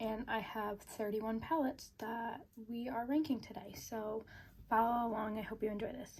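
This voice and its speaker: A woman's voice comes through somewhat breathy. Her intonation stays fairly even. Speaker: beauty vlogger. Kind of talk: casual product review. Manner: casual, frequent um fillers.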